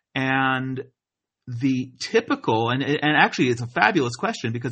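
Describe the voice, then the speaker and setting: With an American accent, a man uses an ordinary speaking voice at a medium pitch and a moderate pace. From US Northeast, New Jersey. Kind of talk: interview.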